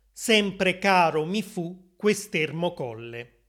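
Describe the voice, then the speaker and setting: A man speaks at a very slow pace in a high pitch, with lively intonation. The recording is very clean, with a silent background. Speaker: language teacher podcast host. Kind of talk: poetry reading aloud, then plain-Italian paraphrase and explanation. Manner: measured, clear, formal, slow; expressive, lyrical poetic delivery.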